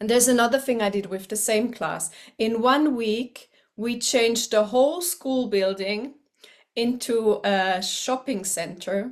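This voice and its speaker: At a fairly slow pace and with ordinary pitch variation, the speech comes through on a very clean recording with a silent background. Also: woman, fairly high pitch for a woman. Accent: German. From eastern Switzerland. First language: German. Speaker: teacher. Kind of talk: personal introduction to camera.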